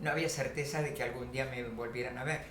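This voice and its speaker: With noticeable background noise and audible room echo, a woman talks using ordinary pitch variation. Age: 70s. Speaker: Holocaust survivor. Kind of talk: testimony. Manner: halting, many fillers.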